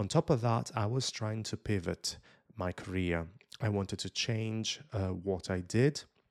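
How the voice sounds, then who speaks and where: A man with an Italian accent at a fairly low pitch with ordinary pitch variation, on a very clean recording with a silent background and a dry, close sound with no echo. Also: fairly slow pace. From Italy. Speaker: YouTuber and influencer. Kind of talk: interview conversation.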